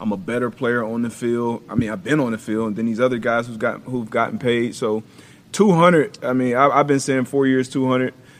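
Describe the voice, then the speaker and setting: With a normal speaking voice, a man talks at a moderate pace at medium pitch, with ordinary pitch variation. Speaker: former NFL defensive back, football analyst. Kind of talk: football film breakdown.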